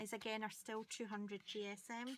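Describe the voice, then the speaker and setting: A woman at a medium pitch, with a Scottish accent. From Scotland. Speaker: paper crafter. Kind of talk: crafting tutorial. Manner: hesitant, many ums.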